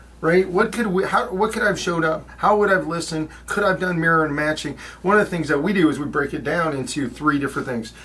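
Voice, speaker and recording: A man at a very fast pace, ordinary pitch variation, noticeable background noise. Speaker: podcast co-host. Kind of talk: casual chat. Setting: studio. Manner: animated.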